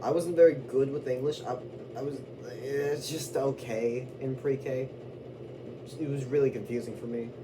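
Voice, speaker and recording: A man speaks at a medium pitch with fairly even intonation. Long, frequent pauses break his speech, and noticeable background noise runs underneath. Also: moderate pace. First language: Spanish. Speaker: vlogger. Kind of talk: casual rant to camera. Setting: indoors away from own room. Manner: rambling with fillers.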